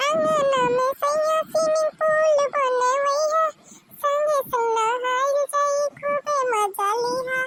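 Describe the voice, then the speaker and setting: A woman's cartoonish character voice, extremely high-pitched and very slow. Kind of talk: cartoon comedy voice acting. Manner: exclamatory, dramatic.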